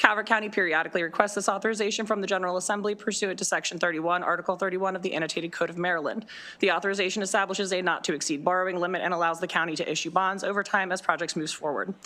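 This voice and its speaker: Speaking at a very fast pace with hardly any pauses, a woman keeps a medium pitch and fairly even intonation. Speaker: county government official. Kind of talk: testimony. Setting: legislative committee hearing. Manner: formal.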